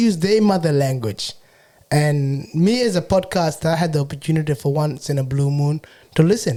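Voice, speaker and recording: A man's high-pitched voice with a South Sudanese Australian accent, dark and mellow in tone, lively intonation and a moderate pace. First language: Shilluk. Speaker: podcaster and entrepreneur. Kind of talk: casual interview chat.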